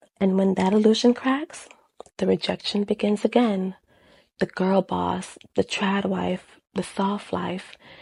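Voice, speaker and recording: Her speech is very slow, somewhat breathy and medium in pitch for a woman, with fairly even intonation. The sound is dry and close with no echo. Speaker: video essayist on love and feminism. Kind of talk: video essay commentary.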